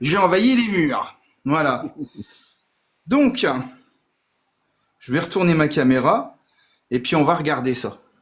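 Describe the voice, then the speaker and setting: Here a man speaks with lively intonation. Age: 40s. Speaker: Lego builder and collector. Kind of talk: casual chat.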